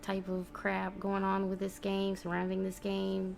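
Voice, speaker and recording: The woman speaking is soft-spoken. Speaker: gaming YouTuber. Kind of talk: casual vlog monologue. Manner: soft-spoken, talking low; hesitant, many fillers.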